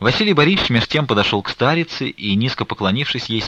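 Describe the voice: Reading aloud, done plainly.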